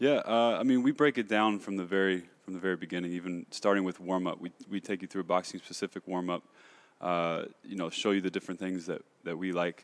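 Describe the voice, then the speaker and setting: Against a quiet background, a man with an American accent talks in a very deep, low voice. His pace is fairly quick and his intonation fairly even. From Kentucky, US. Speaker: boxing trainer and gym co-owner. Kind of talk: casual chat.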